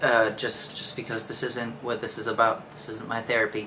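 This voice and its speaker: A man with a medium-pitched voice is heard over noticeable background noise. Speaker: podcast host. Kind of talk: personal monologue. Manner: monotone, nonchalant; halting, repeats words.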